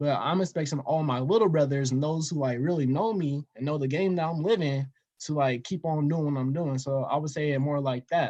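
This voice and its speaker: With hardly any pauses, a man with an American accent talks at a fairly quick pace in a normal speaking voice, his fairly high pitch showing ordinary variation. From Denver, Colorado. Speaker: investor and storytelling guest. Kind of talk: casual interview.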